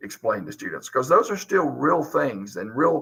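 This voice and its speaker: Speaking with a Southern US accent, a man keeps a moderate pace at a medium pitch. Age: 50s. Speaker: high school teacher. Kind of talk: video interview monologue.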